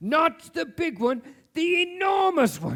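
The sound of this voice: A man puts on a character voice at an extremely high pitch, with very wide pitch swings and a fairly bright tone. He speaks at a slow pace.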